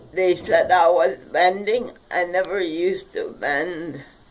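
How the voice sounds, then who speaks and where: A very slow pace with ordinary pitch variation, over noticeable background noise. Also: woman. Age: 70s. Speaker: low-income street vendor and activist. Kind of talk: interview. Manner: halting.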